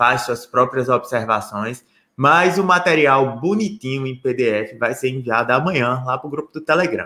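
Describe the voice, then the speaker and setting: A man speaks in a bright, sharp tone at a moderate pace. His intonation is lively. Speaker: lawyer teaching social security law. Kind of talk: live online lecture. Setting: live stream with chat. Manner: relaxed, conversational. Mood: friendly, upbeat. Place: home room. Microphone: webcam.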